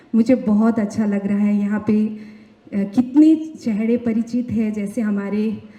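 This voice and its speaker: Over noticeable background noise, a woman with a Nepali accent speaks at a fairly high pitch with fairly even intonation. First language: Nepali (speaking Hindi). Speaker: singer and songwriter. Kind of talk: award acceptance speech.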